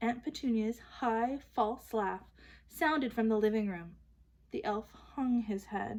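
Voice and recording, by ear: Here the text is read aloud in a natural voice.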